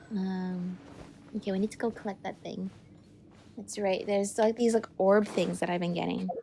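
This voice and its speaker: Over noticeable background noise, a woman talks at a moderate pace in a medium pitch, her intonation monotone and flat, with long, frequent pauses. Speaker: gaming channel host. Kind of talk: casual gameplay commentary.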